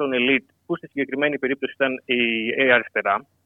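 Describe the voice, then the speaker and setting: A man talks at a medium pitch with fairly even intonation. His is a normal speaking voice. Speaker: political science PhD candidate. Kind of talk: radio interview.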